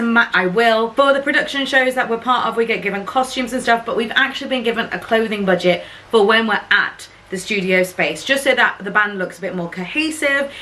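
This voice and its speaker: A woman with a British accent talks at a fairly quick pace, her fairly high pitch showing ordinary variation. Noticeable background noise is present. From UK. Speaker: cruise ship singer and vlogger. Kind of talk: casual vlog.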